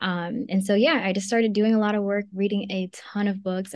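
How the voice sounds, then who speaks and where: A woman with an American accent and a medium pitch talks at a fairly quick pace in an unremarkable speaking voice. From Maryland. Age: 20s. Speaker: magazine founder. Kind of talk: interview. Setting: video call.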